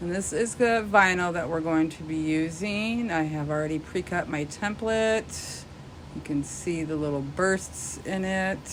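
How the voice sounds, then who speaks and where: With audible room echo, a woman at a fairly low pitch speaks at a fairly slow pace and ordinary pitch variation. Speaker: craft tutorial youtuber. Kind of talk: tutorial. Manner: casual.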